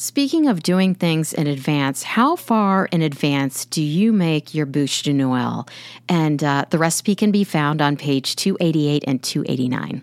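Over a silent background in a very clean recording, a woman with a very deep, low voice speaks very slowly, with hardly any pauses, very even loudness and ordinary pitch variation. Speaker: podcast host. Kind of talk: interview chat.

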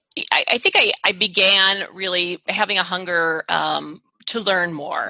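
An unremarkable speaking voice: a woman with an American accent, medium pitch, and fairly even intonation. The sound is dry and close with no echo. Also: hardly any pauses. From US, small town. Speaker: chiropractor and research professor. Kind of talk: interview.

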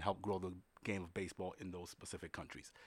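In a very clean recording with a silent background, a man talks at a fairly quick pace with a New York accent. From New York City, the Bronx. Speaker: baseball league executive. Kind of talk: interview conversation. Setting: studio in Manhattan.

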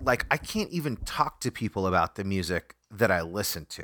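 A man speaks in a bright, sharp tone with very wide pitch swings, his voice dry and close with no echo. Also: very clean recording, silent background. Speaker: podcast host. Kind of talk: casual chat. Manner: rambling, stammering, animated.

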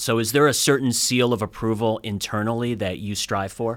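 On a very clean recording with a silent background, a man speaks at a moderate pace in an unremarkable speaking voice at medium pitch. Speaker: career advisor. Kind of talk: interview.

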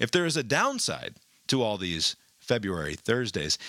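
A man's bright, sharp voice shows vocal fry and very wide pitch swings at a moderate pace. The recording is very clean and silent behind him, with a dry, close sound and no echo. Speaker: news podcast host. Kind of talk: news reading with editorial commentary.

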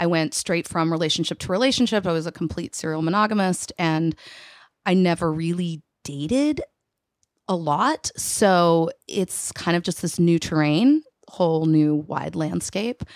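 On a very clean recording with a silent background and a dry, close sound with no echo, a woman with an American accent has an unremarkable speaking voice, speaking at a moderate pace in a fairly low pitch with ordinary pitch variation. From Texas. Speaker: business owner, interview guest. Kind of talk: casual interview.

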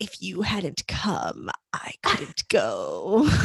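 The speaker uses a raspy, put-on character voice. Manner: whispering, creepy.

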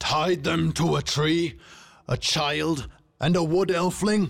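In a put-on character voice, a man speaks slowly at a fairly high pitch with vocal fry and fairly even intonation, on a very clean recording with a silent background.

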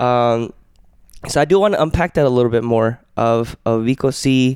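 A man with a plain, everyday voice speaks at a fairly slow pace and medium pitch, with fairly even intonation in a dry, close sound with no echo. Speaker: podcast host. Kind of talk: casual chat.

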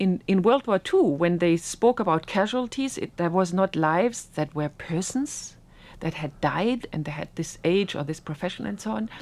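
A woman with a German accent, fairly low in pitch, with lively intonation at a moderate pace, in a very clean recording with a silent background. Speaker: historian. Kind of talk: interview. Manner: halting.

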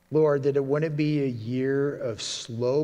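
In a room with audible echo, a man talks with a dark, mellow tone, fairly high pitch and ordinary pitch variation. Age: 40s. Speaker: pastor. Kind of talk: sermon.

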